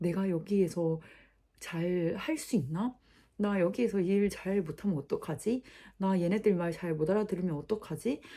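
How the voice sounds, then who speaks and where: This woman has a dark, mellow tone at a medium pitch. She moves at a moderate pace with ordinary pitch variation. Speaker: social worker and vlogger. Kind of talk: casual vlog talk to camera.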